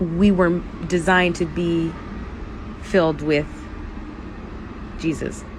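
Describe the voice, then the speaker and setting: Over noticeable background noise and audible room echo, a woman with a fairly low pitch talks at a very slow pace in a monotone, flat intonation, leaving long, frequent pauses. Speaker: faith and lifestyle podcaster. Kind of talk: casual chat. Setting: outdoors at night. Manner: loud.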